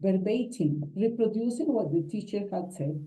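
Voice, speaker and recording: With a Colombian accent, a woman speaks at a fairly slow pace in a dark, mellow, somewhat breathy tone. Her pitch varies in an ordinary way, and audible room echo surrounds her voice. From Colombia, Huila. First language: Spanish. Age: 60s. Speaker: English teacher. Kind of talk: conference talk.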